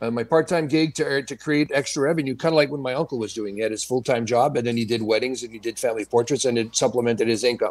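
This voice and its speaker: On a very clean recording with a silent background, a man talks at a very fast pace with hardly any pauses. His pitch is medium, with ordinary variation. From Sudbury, Ontario, Canada. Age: 60s. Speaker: photographer. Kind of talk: interview. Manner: halting.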